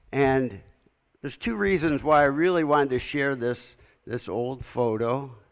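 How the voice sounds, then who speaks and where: With an American accent and a medium pitch, a man speaks in a space with audible room echo. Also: ordinary pitch variation, moderate pace. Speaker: clinical psychologist, keynote speaker. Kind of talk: lecture.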